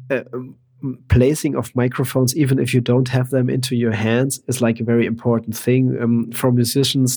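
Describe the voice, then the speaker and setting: Speaking at a fairly quick pace, a man with a German accent has a dark, mellow tone. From Germany, countryside. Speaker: percussionist. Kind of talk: casual interview chat. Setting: remote call.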